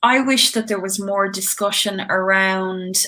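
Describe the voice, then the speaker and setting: A medium-pitched woman with an Irish accent and fairly even intonation. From Ireland, County Tipperary. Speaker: singer-songwriter. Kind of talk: casual chat.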